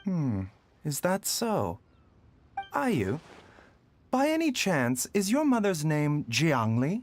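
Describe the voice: A man puts on a character voice, fairly high in pitch. He speaks slowly with very wide pitch swings.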